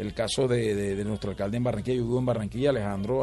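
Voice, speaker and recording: A man speaks at a very fast pace with a fairly low pitch and ordinary pitch variation. There is audible room echo. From Colombian Caribbean coast, Valledupar. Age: 40s. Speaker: vallenato singer. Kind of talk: radio interview.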